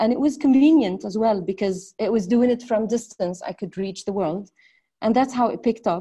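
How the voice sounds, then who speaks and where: A somewhat breathy, fairly high woman's voice with a dark, mellow tone, ordinary pitch variation and a moderate pace. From northern Lebanon. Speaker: entrepreneur. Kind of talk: interview.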